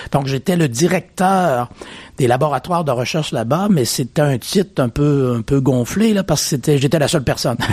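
A man is speaking here. His pitch is fairly high, with ordinary pitch variation. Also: moderate pace, very even loudness. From Quebec, Beauce region. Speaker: chief scientist, neuroscience researcher. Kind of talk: radio interview. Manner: hesitant, frequent fillers.

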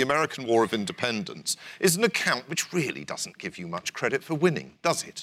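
This man has a British accent and a fairly high pitch with a bright, sharp tone. His pitch swings very widely, and vocal fry shows up. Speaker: historian. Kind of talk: lecture; audience Q&A. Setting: stage with audience.

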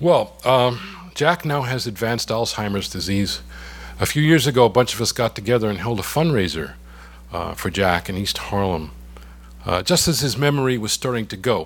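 Vocal fry at a moderate pace. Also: man, medium pitch for a man, lively intonation. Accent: New York. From New York. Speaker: poet. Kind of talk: poetry reading. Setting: stage with audience.

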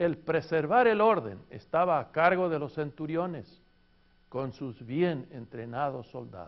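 Spoken in an ordinary speaking voice at a fairly slow pace, the clip has lively intonation and big swings in loudness. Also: man, fairly high pitch for a man. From Argentina. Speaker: pastor and seminary teacher. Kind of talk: lecture.

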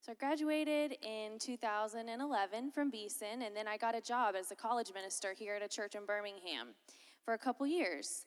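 With an American accent and a normal speaking voice, a woman talks at a moderate pace, her fairly high pitch showing ordinary variation. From Florida, US South (Lakeland). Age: 20s. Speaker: college minister. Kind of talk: chapel talk. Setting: chapel with audience.

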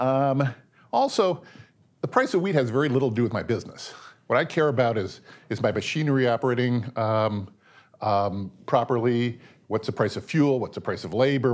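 On a very clean recording with a silent background, a man with a Pacific Northwest accent speaks with ordinary pitch variation. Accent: American, Pacific Northwest. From US Pacific Northwest, Seattle. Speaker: guest lecturer, finance professional and poker player. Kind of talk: lecture.

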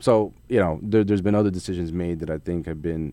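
With a very deep, low pitch and a dark, mellow tone, a man talks at a very fast pace with ordinary pitch variation. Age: young. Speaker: finance professional. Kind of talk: radio interview.

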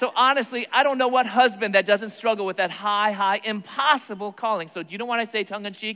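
A man with a high pitch and a bright, sharp tone speaks in a raised, projected voice. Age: 40s. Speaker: Bible teacher and speaker. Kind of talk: sermon.

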